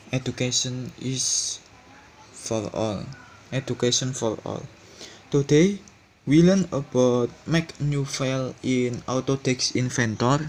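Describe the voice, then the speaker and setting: A man at a very slow pace with medium pitch and fairly even intonation amid noticeable background noise. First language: not English. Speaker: tutorial channel host. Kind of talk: tutorial. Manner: halting.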